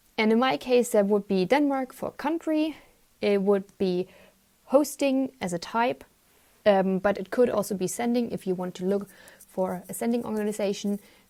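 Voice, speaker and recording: A woman with a German accent speaks in a dark, mellow tone with lively intonation. The recording is very clean, with a silent background. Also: medium pitch for a woman, moderate pace. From Germany. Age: 20s. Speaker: volunteer. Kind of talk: presentation.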